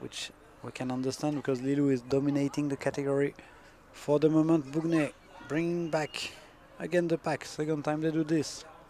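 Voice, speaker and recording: A man with a French accent speaks at a fairly high pitch in a monotone with flat intonation. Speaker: sports commentator. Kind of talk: live commentary.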